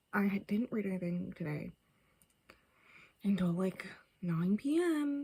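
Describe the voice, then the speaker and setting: The woman's voice is somewhat breathy. Its tone is dark and mellow. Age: 20s. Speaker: book vlogger. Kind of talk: casual chat. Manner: casual, filler-heavy.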